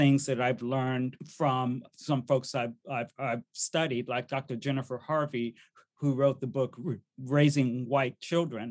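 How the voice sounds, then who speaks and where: Against a quiet background, a man speaks in a plain, everyday voice at a fairly high pitch and a fairly slow pace. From US army family, moved around. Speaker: diversity speaker and workshop facilitator. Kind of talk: interview conversation.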